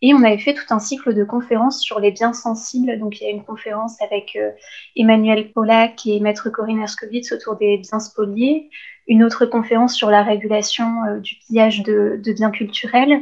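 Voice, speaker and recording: A woman with a fairly high pitch speaks at a moderate pace in a somewhat breathy voice with monotone, flat intonation. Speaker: law and art history student. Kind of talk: interview.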